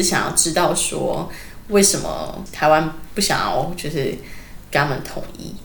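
The speaker is a woman. Her voice carries audible room echo over noticeable background noise. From Taiwan. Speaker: former kindergarten teacher. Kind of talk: casual interview chat.

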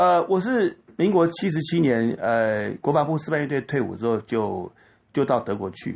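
Pitch swinging very widely, a man speaks at a moderate pace and a fairly high pitch. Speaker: violinist and violin teacher. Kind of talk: interview.

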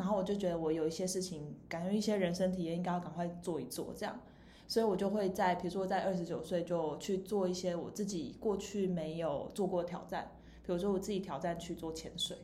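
With a slight Taiwanese accent, a woman talks at a fairly quick pace and medium pitch with fairly even intonation, amid audible room echo. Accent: Taiwanese Mandarin, slight. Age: 30s. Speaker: podcast host. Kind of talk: casual chat. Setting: rented recording space.

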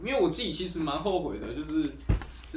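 Audible room echo is present. A man talks through it. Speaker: graduating university student. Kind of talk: casual chat.

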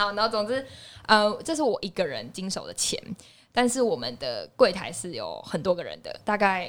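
A woman at a moderate pace, with big swings in loudness, on a very clean recording with a silent background. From Taiwan, Tainan. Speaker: podcast host. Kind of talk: casual chat.

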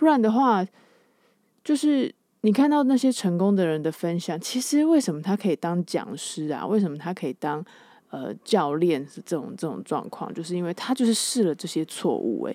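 A woman with a Taiwanese accent talks at a moderate pace in a dark, mellow tone. Her pitch swings very widely, and the recording is very clean with a silent background. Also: medium pitch for a woman. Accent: Taiwanese Mandarin. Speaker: podcast host. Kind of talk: casual solo monologue. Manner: animated.

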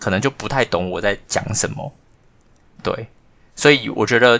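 This man has a normal speaking voice, fairly low in pitch. He talks at a fairly quick pace with ordinary pitch variation. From Taiwan. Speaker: podcast co-host, former language school student manager. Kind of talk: casual chat.

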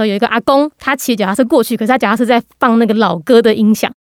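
A woman's fairly high voice at a very fast pace, dry and close with no echo. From Taiwan, Gangshan (Kaohsiung). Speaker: podcast host on international news. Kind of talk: interview.

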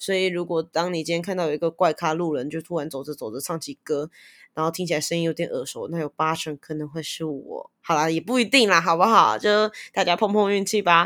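In an animated tone, a woman speaks at a fairly quick pace with ordinary pitch variation, on a very clean recording with a silent background and a dry, close sound with no echo. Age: 20s. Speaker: podcast host. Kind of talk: self-introduction. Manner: animated, laughing often.

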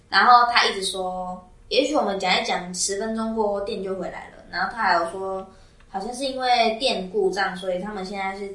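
Her tone animated and her pitch medium, a woman speaks amid noticeable background noise and audible room echo. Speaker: podcast co-host, student. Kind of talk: casual chat. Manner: animated, laughing often.

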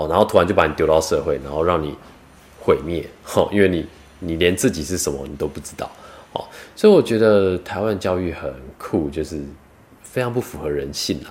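In a Taiwanese accent, the speaker goes at a fairly quick pace with long, frequent pauses and big swings in loudness over noticeable background noise. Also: man, very deep, low pitch for a man, ordinary pitch variation. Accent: Taiwanese Mandarin. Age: 30s. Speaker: vlogger and part-time cook. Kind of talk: casual monologue vlog.

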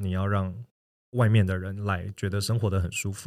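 At a fairly quick pace, a man with a Taiwanese accent speaks in a fairly low pitch on a very clean recording with a silent background. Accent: Taiwanese Mandarin. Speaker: guest who works in consulting and lived in Shanghai, New York. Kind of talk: casual podcast interview.

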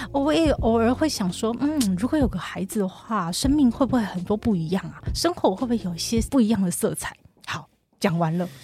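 A dark, mellow, somewhat breathy voice with very wide pitch swings. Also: woman, fairly high pitch for a woman, fairly quick pace. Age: 40s. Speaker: counseling psychologist. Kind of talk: casual chat.

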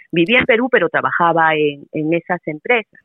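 A woman with an unremarkable speaking voice, fairly low in pitch, at a moderate pace with lively intonation. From Peru. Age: 40s. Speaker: Spanish teacher. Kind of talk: casual interview conversation.

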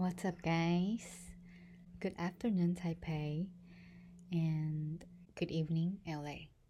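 A woman speaks at a very slow pace with long, frequent pauses, in a monotone, flat intonation and a fairly low pitch. Her tone is dark and mellow, and somewhat breathy. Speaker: podcaster. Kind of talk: casual monologue; reading aloud.

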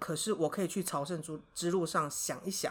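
A woman speaks at a moderate pace with a Taiwanese accent. The recording is very clean, with a silent background. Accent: Taiwanese Mandarin. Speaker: high school teacher. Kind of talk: interview.

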